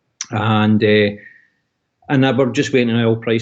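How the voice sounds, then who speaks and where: In a Scottish accent, a man speaks at a medium pitch with monotone, flat intonation. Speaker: oil and gas industry worker, expat. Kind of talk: video call interview. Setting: video call.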